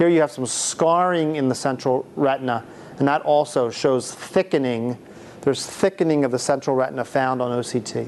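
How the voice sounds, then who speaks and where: A man speaks at medium pitch. His pitch varies in an ordinary way. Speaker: ophthalmologist. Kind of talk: lecture. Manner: fast; halting.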